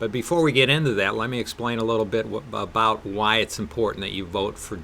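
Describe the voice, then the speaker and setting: Lively intonation marks this man's fairly low-pitched voice in a Wisconsin accent. He moves at a fairly quick pace. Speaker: political candidate. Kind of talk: interview.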